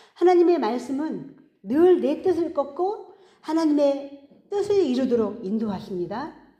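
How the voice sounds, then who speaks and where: A woman speaks at a fairly slow pace in a high voice, her pitch swinging very widely, with audible room echo around her. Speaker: pastor. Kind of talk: sermon.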